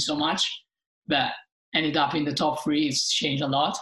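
A woman with a very deep, low voice, an Italian accent and a moderate pace. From Italy. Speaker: professional sailor, Olympian. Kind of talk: interview. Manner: hesitant, with many fillers.

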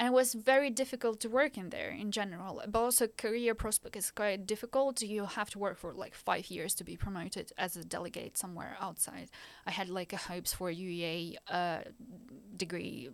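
A woman with a Ukrainian accent speaks with ordinary pitch variation and big swings in loudness on a very clean recording with a silent background. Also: medium pitch for a woman. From Ukraine. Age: 20s. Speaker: master's student, refugee. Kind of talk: interview, personal story.

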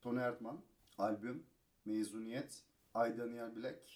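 The tone is dark and mellow. A man's words move at a moderate pace. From Turkey, Kocaeli. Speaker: radio staffer and film fan. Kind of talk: casual chat. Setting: hotel room.

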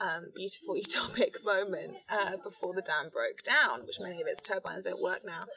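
Hardly any pauses break the moderate pace of this speech, which is heard over noticeable background noise. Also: woman. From London, England. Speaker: artist and writer. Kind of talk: casual chat. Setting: outdoors.

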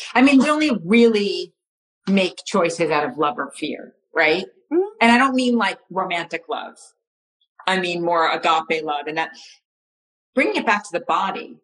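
A woman with an American accent speaks at a moderate pace in a medium pitch, leaving long, frequent pauses. Her pitch moves in very wide swings. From United States. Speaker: astrologer. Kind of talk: casual chat. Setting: live video stream.

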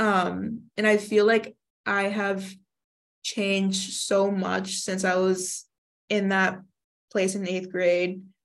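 A woman speaks very slowly at medium pitch in a monotone, flat intonation, with long, frequent pauses. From Northeast Philadelphia, US. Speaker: university student. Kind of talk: interview. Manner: stutters.

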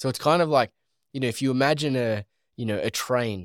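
Speaking with an Australian accent, a man keeps a moderate pace and ordinary pitch variation in a very clean recording with a silent background and a dry, close sound with no echo. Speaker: podcast host. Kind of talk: commentary conversation on Bible study. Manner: rambling, conversational.

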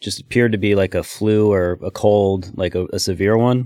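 Monotone and flat, the voice carries an American accent at a moderate pace. The recording is very clean, with a silent background. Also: man. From Oregon, US. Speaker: business owner. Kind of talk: interview testimony.

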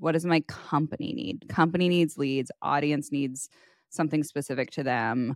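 A woman speaks with a Valley Girl accent at a very deep, low pitch. The sound is dry and close, with no echo. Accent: Valley Girl cadence. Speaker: podcast co-host. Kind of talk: casual chat. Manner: laughs often.

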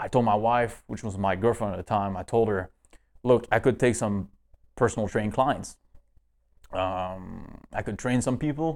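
A man's plain, everyday voice, fairly low in pitch with fairly even intonation, at a moderate pace, in a very clean recording with a silent background. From northeast Canada. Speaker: fitness coach and entrepreneur. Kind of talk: casual interview.

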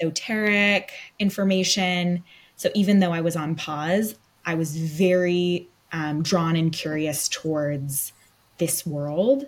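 Speaking very slowly with an American accent, a woman uses a fairly low pitch and ordinary pitch variation. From US West Coast, Los Angeles. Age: 20s. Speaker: podcast co-host, medium. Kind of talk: casual chat.

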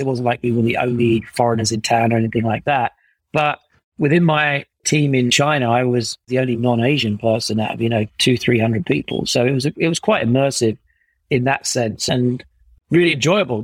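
On a very clean recording with a silent background and a dry, close sound with no echo, a man with a southern English accent speaks at a fairly quick pace and medium pitch, his loudness very even. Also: ordinary pitch variation. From England, Essex. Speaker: startup co-founder and CEO. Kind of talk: interview conversation.

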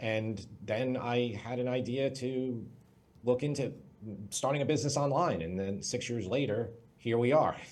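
With a New York accent, a man speaks at a medium pitch and a moderate pace. His pitch variation is ordinary, and he leaves long, frequent pauses. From Long Island, New York. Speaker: cooking YouTuber and entrepreneur. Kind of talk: interview.

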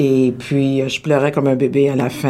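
At a fairly slow pace, a woman talks in a very deep, low pitch. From Quebec, Laval. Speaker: actress. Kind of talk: radio interview. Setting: studio.

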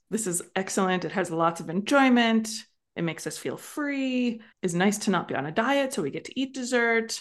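She speaks with an unremarkable speaking voice at a fairly high pitch against a quiet background. Her pace is moderate and her intonation lively. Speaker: coach and podcast host. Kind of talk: coaching conversation.

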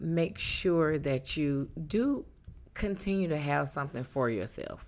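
On a very clean recording with a silent background, a woman with a Southern US accent speaks at a very slow pace. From North Carolina. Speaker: divorced mother of three. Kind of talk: interview. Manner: halting.

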